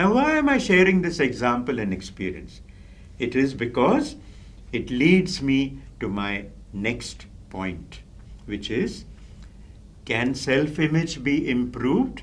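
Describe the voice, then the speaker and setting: The speaker talks very slowly with vocal fry, very wide pitch swings and long, frequent pauses, with audible room echo. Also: man, medium pitch for a man. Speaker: professor and public speaking trainer. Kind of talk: lecture. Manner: clear, carefully articulated; formal.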